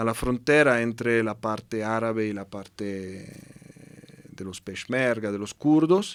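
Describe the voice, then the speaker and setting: With a strong Italian accent, a man speaks at a medium pitch with ordinary pitch variation and long, frequent pauses. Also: fairly slow pace, big swings in loudness. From Italy. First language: Italian (speaking Spanish). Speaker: UN humanitarian representative. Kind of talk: interview conversation. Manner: halting with repetitions.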